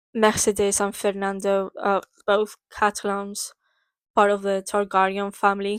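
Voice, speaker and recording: In a Spanish accent, a woman speaks fairly slowly at a fairly high pitch, with a dry, close sound and no echo. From Spain. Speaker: book vlogger. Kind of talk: casual book summary vlog. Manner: hesitant, many fillers.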